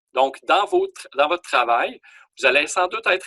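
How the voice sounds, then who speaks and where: This man is heard with a dry, close sound and no echo. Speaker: college teacher. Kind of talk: online class lecture. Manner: hesitant with fillers.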